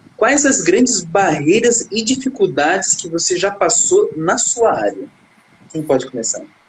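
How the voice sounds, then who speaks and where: A man with a high voice talks fairly slowly, his pitch swinging very widely. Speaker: sports psychologist. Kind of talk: live stream host.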